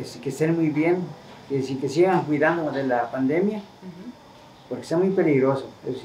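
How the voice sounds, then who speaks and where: Big swings in loudness come through with audible room echo and light background noise. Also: man, fairly high pitch for a man, ordinary pitch variation, moderate pace. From Mexico, Jalisco (Los Altos, San Miguel el Alto). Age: 70s. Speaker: elderly local resident. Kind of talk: interview. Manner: halting. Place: home room. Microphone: camera far.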